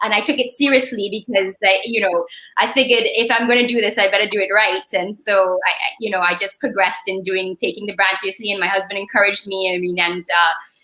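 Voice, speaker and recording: Over noticeable background noise, a woman with a medium pitch talks at a very fast pace with ordinary pitch variation and hardly any pauses. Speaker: attorney and creative entrepreneur. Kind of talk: podcast interview. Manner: loud; expressive.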